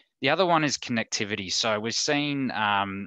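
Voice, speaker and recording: Talking at a moderate pace in an Australian accent, a man has a bright, sharp tone over a quiet background, with a dry sound with no echo. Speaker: insurance advice services manager. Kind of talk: online talk presentation. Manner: casual, hesitant with many fillers. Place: home room. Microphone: headset.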